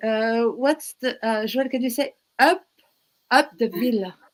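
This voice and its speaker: At a fairly slow pace, a woman talks in a French accent. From France.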